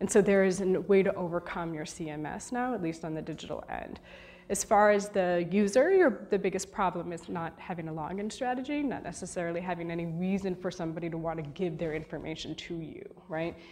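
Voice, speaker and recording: A woman with a fairly low pitch talks at a fairly quick pace with ordinary pitch variation. Audible room echo surrounds her voice. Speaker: media data executive and conference speaker. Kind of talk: conference talk with Q&A. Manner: fast.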